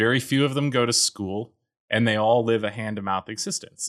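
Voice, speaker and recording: Heard in a plain, everyday voice, a man speaks at a medium pitch with ordinary pitch variation, dry and close with no echo, on a very clean recording with a silent background. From US Mountain West, Colorado. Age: 30s. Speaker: geologist and startup founder. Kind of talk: casual interview.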